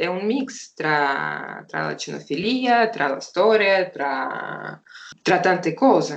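A woman speaks with a Russian accent. Her pace is very slow. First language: Russian (speaking Italian). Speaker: hunting dog breeder and trainer. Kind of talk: interview. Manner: halting.

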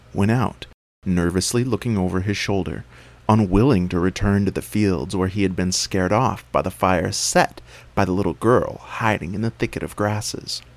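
At a moderate pace, a man with a fairly low pitch speaks in a dramatic, animated tone with ordinary pitch variation. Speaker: storyteller dad. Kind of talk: storytelling. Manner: animated, expressive narration; dramatic, paced storyteller.

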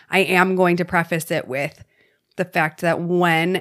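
On a very clean recording with a silent background, a woman with a normal speaking voice talks fairly slowly at a fairly low pitch, her intonation fairly even. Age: 30s. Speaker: podcast co-host. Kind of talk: casual chat.

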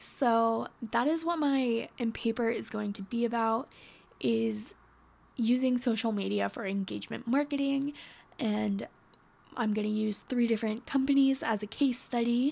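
Here is a woman with an American accent and a normal speaking voice. Her pitch is fairly high and her pace moderate. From northwestern Pennsylvania. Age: 20s. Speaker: podcast host. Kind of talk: solo casual monologue. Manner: chatty, upbeat.

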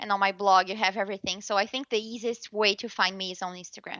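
A woman with a slight Brazilian accent and a bright, sharp tone against a quiet background. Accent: light Brazilian Portuguese-accented English. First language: Portuguese. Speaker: journalist. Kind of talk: interview. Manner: halting, with frequent repetitions and fillers.

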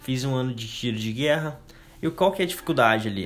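A man's fairly high voice with lively intonation and a fairly quick pace, over noticeable background noise. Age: 20s. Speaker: podcast host. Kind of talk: casual monologue. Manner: casual, filler-heavy.

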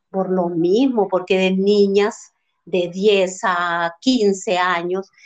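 A woman talks against a quiet background. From Honduras, Santa Bárbara village. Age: 50s. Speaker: mother of the host. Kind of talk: casual discussion.

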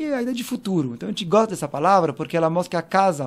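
A man speaks in a French accent. His intonation is lively. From France (Paris). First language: French (speaking Portuguese). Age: 40s. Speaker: cultural manager. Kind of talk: interview conversation.

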